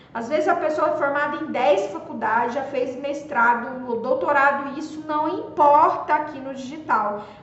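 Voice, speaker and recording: Her voice high in pitch, a woman talks at a moderate pace with hardly any pauses, ordinary pitch variation and big swings in loudness, over noticeable background noise and audible room echo. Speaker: social media marketing coach. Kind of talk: live stream talk.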